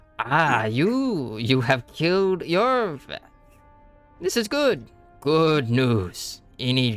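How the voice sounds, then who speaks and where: Putting on a squeaky character voice, a man speaks at a fairly high pitch and a very slow pace, with long, frequent pauses and faint music in the background. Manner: welcoming, pleased.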